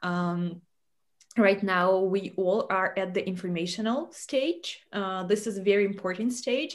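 A woman talks at a fairly slow pace in an ordinary speaking voice. Her pitch is medium, with ordinary variation. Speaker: live stream host. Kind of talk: hosted live interview. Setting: online video broadcast. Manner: formal.

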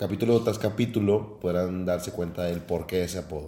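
A man's dark, mellow voice with fairly even intonation and audible room echo. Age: 20s. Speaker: podcast co-host, engineer. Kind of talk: casual chat.

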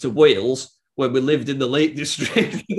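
Here a man speaks in a Cumbrian accent. His pace is moderate. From northern England, Workington, Cumbria. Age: 20s. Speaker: musician. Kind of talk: casual chat.

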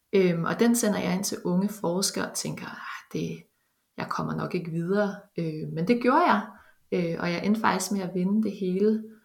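With audible room echo, a woman of medium pitch speaks at a moderate pace in fairly even intonation. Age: 30s. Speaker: bioinformatics researcher. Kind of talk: interview. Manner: halting, many fillers.

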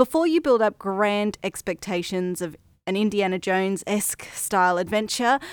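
With an Australian accent, a woman talks at a fairly slow pace and medium pitch in a very clean recording with a silent background and a dry, close sound with no echo. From Australia, Brisbane, Queensland. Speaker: podcast host. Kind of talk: scripted narration.

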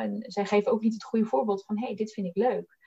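Here a woman talks. Everything sounds dry and close, with no echo. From Netherlands, Bollenstreek (South Holland). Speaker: recruiter. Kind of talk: interview.

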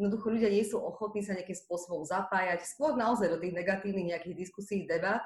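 Over noticeable background noise, a woman talks at a very fast pace with hardly any pauses and fairly even intonation. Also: medium pitch for a woman. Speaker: podcast host. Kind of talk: casual interview.

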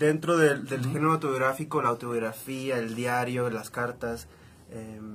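The delivery moves at a moderate pace in a normal speaking voice. Intonation stays fairly even. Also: man. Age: 20s. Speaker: journalist. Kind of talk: casual chat.

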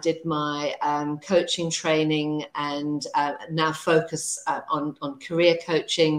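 A woman's fairly low pitch, monotone and flat, at a very slow pace. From South Africa. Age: 50s. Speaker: career coach. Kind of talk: casual chat. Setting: video call.

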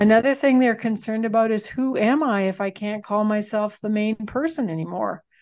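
Against a quiet background, a woman with a Canadian Prairie accent talks at a fairly quick pace and a fairly high pitch, with hardly any pauses. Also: ordinary pitch variation. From Manitoba, Canada. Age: 60s. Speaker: farm transition consultant and author. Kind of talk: casual interview.

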